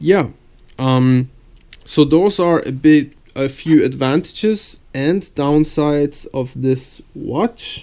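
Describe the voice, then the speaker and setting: Talking at a very slow pace with a non-native accent, a man uses a fairly high pitch and ordinary pitch variation. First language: not English. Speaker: YouTuber reviewing gear. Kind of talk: product review video. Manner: halting, with fillers.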